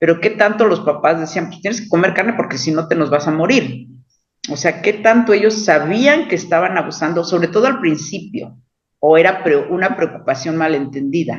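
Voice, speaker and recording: This man's voice sits high in pitch, with lively intonation, and he keeps a moderate pace. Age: 60s. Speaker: book club participant. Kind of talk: book club discussion.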